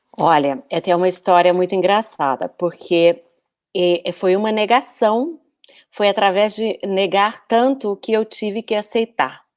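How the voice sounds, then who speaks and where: This woman, with a Brazilian accent, talks at a medium pitch with ordinary pitch variation. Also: fairly slow pace. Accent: Brazilian Portuguese, noticeable. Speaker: communication coach, former architect. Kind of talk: casual interview via live stream. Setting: live online video stream. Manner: hesitant, many fillers.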